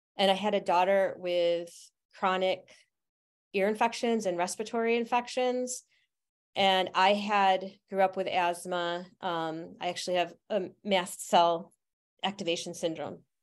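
A woman's unremarkable speaking voice, medium-pitched, with an American accent, a fairly slow pace, fairly even intonation and a quiet background. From Utica, central New York. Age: 50s. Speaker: herbalist and astrologer. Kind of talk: interview.

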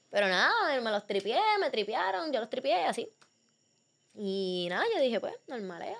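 An animated voice in a Puerto Rican accent at a moderate pace, with long, frequent pauses. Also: woman, fairly high pitch for a woman, lively intonation. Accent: Puerto Rican, noticeable. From Puerto Rico. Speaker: athlete. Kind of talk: casual chat.

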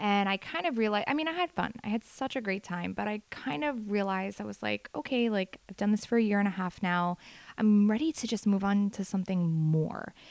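On a very clean recording with a silent background, a woman with an unremarkable speaking voice talks at a medium pitch and fairly quick pace with lively intonation, the sound dry and close with no echo. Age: 30s. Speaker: hairstylist podcaster. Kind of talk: solo podcast monologue. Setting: bedroom.

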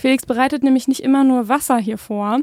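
Very clean recording of a woman with a high pitch and a silent background. The sound is dry and close, with no echo, and her intonation stays fairly even. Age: 20s. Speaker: podcast host, psychotherapist. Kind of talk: casual chat.

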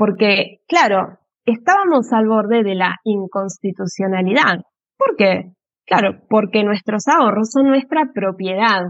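A woman with a fairly high voice speaks fairly slowly, with ordinary pitch variation and very even loudness. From Argentina, Avellaneda (Buenos Aires area). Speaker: Spanish teacher and legal translator. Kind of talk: interview explaining history. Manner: hesitant, many fillers.

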